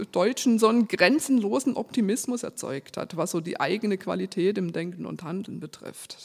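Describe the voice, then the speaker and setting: There is noticeable background noise as a woman talks at a moderate pace. Her pitch varies in an ordinary way. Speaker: preacher. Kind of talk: sermon. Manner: reading from a script.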